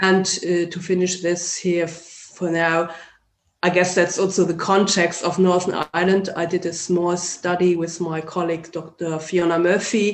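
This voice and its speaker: The speaker has a German accent. The pace is moderate. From Germany. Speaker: sociology lecturer. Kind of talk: interview.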